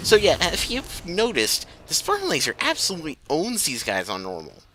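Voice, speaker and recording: Music in the background behind a man speaking at a moderate tempo. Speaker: gaming video commentator. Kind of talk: let's play commentary. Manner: halting.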